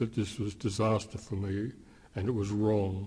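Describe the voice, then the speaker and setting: A man speaks at a fairly quick pace in a fairly low pitch. His tone is dark and mellow, and somewhat breathy. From Australia, Melbourne. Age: 70s. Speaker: anti-war activist. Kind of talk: interview. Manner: halting, many fillers.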